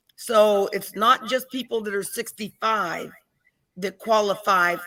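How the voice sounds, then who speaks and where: Speaking in an unremarkable speaking voice with an American accent, a woman holds a medium pitch. Her intonation stays fairly even. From Pittsburgh, Pennsylvania. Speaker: Medicare and Medicaid advisor. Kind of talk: informational interview.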